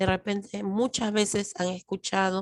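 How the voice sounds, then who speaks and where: A loud woman speaks at a fairly slow pace in a medium pitch. The very clean recording has a silent background and a dry, close sound with no echo. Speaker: lecturer. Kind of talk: lecture. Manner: trying to speak louder.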